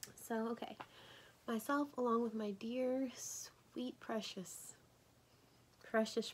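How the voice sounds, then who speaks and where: A woman speaks quietly at a fairly high pitch. Her pace is very slow. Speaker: crochet vlogger. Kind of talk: casual tutorial vlog. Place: home room. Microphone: phone near.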